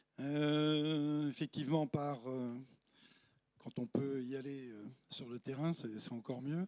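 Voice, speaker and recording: Very slowly, a man speaks with long, frequent pauses at a fairly high pitch and fairly even intonation. The sound is dry and close, with no echo. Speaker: paleoclimate professor. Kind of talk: lecture with slides. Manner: hesitant, many fillers.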